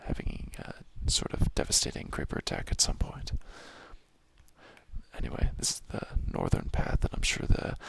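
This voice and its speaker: A man whispers with long, frequent pauses. Noticeable background noise runs underneath. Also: moderate pace. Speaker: ASMR gaming creator. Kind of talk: softly spoken ASMR gameplay commentary. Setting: home apartment. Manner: soft-spoken.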